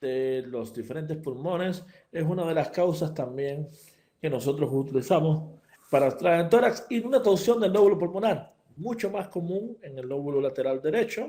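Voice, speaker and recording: A man's high-pitched voice, dark and mellow in tone, moves at a moderate pace with very wide pitch swings and big swings in loudness. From Cuba. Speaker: veterinary surgeon. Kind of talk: lecture. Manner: hesitant, many fillers and repetitions.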